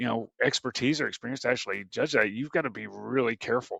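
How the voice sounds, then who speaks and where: A man speaks at medium pitch. The sound is dry and close with no echo, over a quiet background. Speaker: workforce strategy executive. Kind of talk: podcast interview. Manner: animated.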